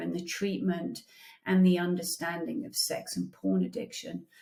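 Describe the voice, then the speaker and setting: This woman talks with a British accent. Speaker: therapist. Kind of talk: casual intro monologue.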